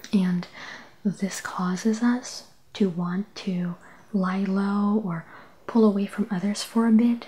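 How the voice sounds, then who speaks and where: A soft-spoken woman whispers at a very slow pace, somewhat breathy, with long, frequent pauses. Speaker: ASMR tarot and oracle card reader. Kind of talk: ASMR relaxation tarot reading. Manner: soft-spoken, whispering.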